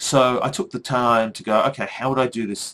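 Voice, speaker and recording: A man talks at a moderate pace. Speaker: university lecturer; academic educator. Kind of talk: solo vlog monologue. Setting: recording to webcam. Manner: animated. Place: home room.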